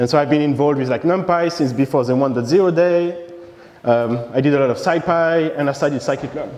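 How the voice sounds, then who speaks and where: A man with a French accent talks very fast at a fairly high pitch, with ordinary pitch variation. Audible room echo and noticeable background noise are present. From France. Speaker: software engineer, conference speaker. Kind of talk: conference talk. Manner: halting, many fillers.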